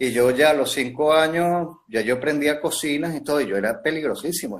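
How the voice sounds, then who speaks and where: Fairly high in pitch, a man speaks with ordinary pitch variation. The recording is very clean, with a silent background. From Venezuela, Barquisimeto (Lara). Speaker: pastry chef. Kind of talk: casual interview. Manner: halting, many fillers.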